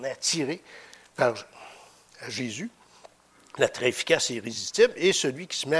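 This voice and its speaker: A man speaks with a fairly high pitch. He keeps a moderate pace. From Quebec (Victoriaville). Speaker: preacher. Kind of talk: sermon. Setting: church. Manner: halting.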